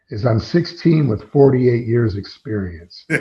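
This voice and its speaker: At a moderate pace, a man with an American accent speaks in a medium-pitched, somewhat breathy voice with lively intonation. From US Midwest (central Illinois, near Peoria). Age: 60s. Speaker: drummer. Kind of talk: interview. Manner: animated.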